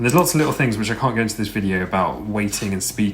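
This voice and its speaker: A man's fairly low pitch carries over noticeable background noise. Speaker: video editor / Eurovision channel creator. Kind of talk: screen-recorded software tutorial. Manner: casual, hesitant.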